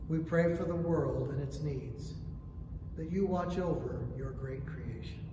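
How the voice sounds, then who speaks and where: Over noticeable background noise and audible room echo, a man talks at a fairly slow pace. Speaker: prayer leader. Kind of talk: morning prayer service, liturgical reading. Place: church. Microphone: camera far.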